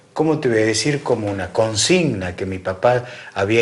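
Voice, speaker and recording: A plain, everyday voice moves at a fairly slow pace. The intonation is lively. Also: man. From Argentina, Santiago del Estero (Salavina). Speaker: radio host. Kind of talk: interview.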